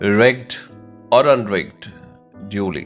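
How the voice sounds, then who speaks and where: A man's fairly low-pitched voice, very slow and calm, soothing in tone, with music in the background. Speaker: English teacher and poetry reciter. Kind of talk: poetry reading.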